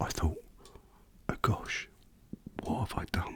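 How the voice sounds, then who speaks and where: A man whispers. His pace is very slow. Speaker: motorcyclist. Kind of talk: ASMR casual talk. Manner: whispered.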